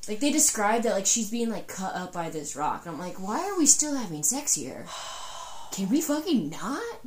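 The voice makes very wide pitch swings amid audible room echo and noticeable background noise. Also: woman, fairly high pitch for a woman, moderate pace. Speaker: book podcast co-host. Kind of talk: casual chat. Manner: animated.

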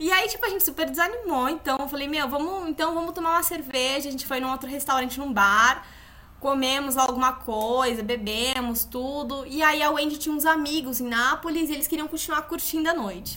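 A woman speaks in a raised, projected voice at a high pitch and a fairly quick pace, with noticeable background noise. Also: ordinary pitch variation. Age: 20s. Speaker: podcast co-host, yoga instructor. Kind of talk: casual chat, storytelling.

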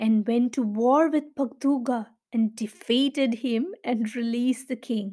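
A woman's high-pitched voice in an animated, warm tone, with ordinary pitch variation at a fairly slow pace, on a very clean recording with a silent background. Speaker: storyteller. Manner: animated, expressive, shifting from warm and teacherly to dramatic and sorrowful; clear, child-friendly pacing with direct questions to listeners.

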